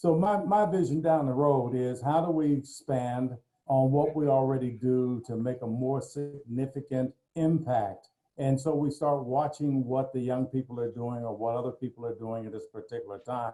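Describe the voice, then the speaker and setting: A man talks at a moderate pace in a medium pitch with ordinary pitch variation. His tone is dark and mellow. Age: 70s. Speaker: motivational speaker. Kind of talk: panel discussion on a video call.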